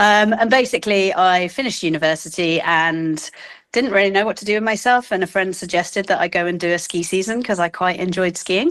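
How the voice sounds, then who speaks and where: With a British accent, a woman talks at a fairly quick pace and a medium pitch, her pitch varying in an ordinary way. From England, London. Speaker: cancer exercise coach. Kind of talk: interview.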